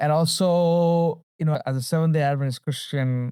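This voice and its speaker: A man speaks in a Tamil accent with a dark, mellow tone. The sound is dry and close with no echo, on a very clean recording with a silent background. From Sri Lanka and the Middle East. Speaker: storyteller and educator. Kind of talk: interview. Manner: conversational, some hesitation.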